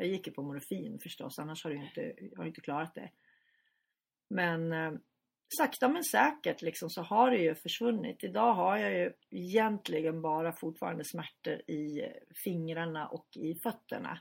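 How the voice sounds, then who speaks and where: On a very clean recording with a silent background, a woman with a fairly low pitch and vocal fry speaks at a moderate pace, with very wide pitch swings and big swings in loudness. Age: 50s. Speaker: journalist and editor, brain tumour survivor. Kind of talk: interview.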